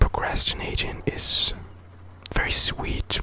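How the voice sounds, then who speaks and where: Whispering at a very slow pace, a man is heard over noticeable background noise. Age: 20s. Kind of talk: ASMR whisper ramble. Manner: whispered, soft-spoken.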